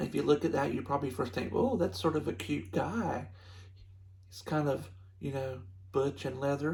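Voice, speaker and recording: A man with a Southern US accent, medium pitch and vocal fry, very wide pitch swings, a moderate pace, and long, frequent pauses. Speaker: tarot reader. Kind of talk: product review.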